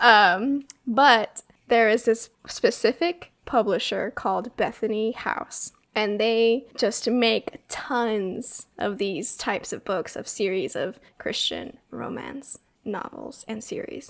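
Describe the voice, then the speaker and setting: A woman's fairly high voice with vocal fry, ordinary pitch variation, a very slow pace and big swings in loudness. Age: 20s. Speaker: podcast co-host, admin assistant. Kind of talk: casual chat.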